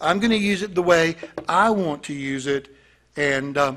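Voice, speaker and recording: Speaking very slowly, a man has lively intonation and a bright, sharp tone over a quiet background. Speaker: pastor. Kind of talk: sermon, verse-by-verse Bible teaching. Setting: church congregation. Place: church. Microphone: podium.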